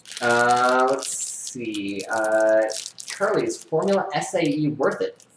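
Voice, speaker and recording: Amid noticeable background noise and audible room echo, a man with an American accent speaks at medium pitch, his voice swinging very widely in pitch. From US Midwest, Kansas. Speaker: YouTuber and rocket engineer. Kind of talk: live stream Q&A. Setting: home live stream. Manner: fast; animated.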